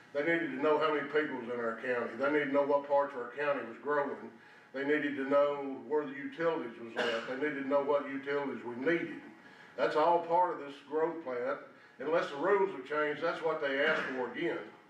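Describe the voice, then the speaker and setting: A fairly high-pitched man with an American accent at a very fast pace, fairly even intonation, noticeable background noise and audible room echo. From Tennessee. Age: 70s. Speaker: former county official, public commenter. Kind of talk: public comment at meeting. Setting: county meeting room.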